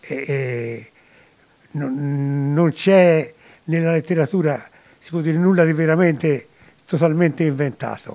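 A man speaks very slowly in a dark, mellow tone with fairly high pitch and fairly even intonation. His loudness swings widely, and he makes long, frequent pauses. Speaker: retired school principal and author; guest. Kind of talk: interview. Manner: halting. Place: shop. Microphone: handheld.

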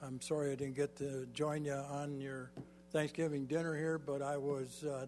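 Music in the background behind a man with an American accent, fairly high pitch, monotone, flat intonation and a moderate pace. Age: 80s+. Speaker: mayor. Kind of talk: council meeting remarks. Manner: halting.

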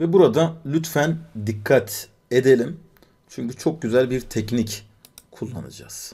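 A man's somewhat breathy voice of medium pitch, dark and mellow in tone, with ordinary pitch variation. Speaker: programming instructor. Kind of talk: live coding lecture. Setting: live stream. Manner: many filler sounds.

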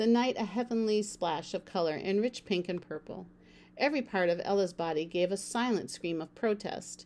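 Ordinary pitch variation runs through the clip. The speaker reads aloud in a natural voice.

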